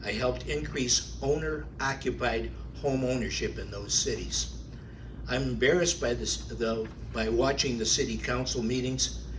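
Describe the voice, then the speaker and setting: A man talks at a moderate pace, and audible room echo can be heard around his voice. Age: 70s. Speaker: city council candidate, realtor. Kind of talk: candidate forum statement. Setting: public forum at a library.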